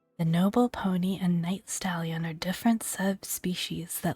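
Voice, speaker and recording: At a rather slow pace, the voice comes across as soft-spoken. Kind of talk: gaming ASMR walkthrough.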